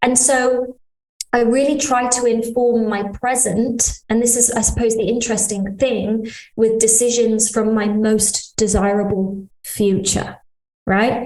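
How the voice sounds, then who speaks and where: A fairly slow, fairly high-pitched woman's voice with a British accent and monotone, flat intonation. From Britain. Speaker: integrative healing business owner. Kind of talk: interview conversation.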